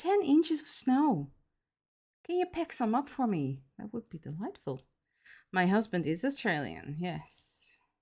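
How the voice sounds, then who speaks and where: A woman's fairly high, somewhat breathy voice has a dark, mellow tone and moves at a fairly slow pace. Her pitch swings very widely, her loudness shifts a lot, and the recording is very clean with a silent background. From Netherlands. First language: Dutch. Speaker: miniature crafter streamer. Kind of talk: casual livestream chat. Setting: livestream at home. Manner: hesitant, many fillers.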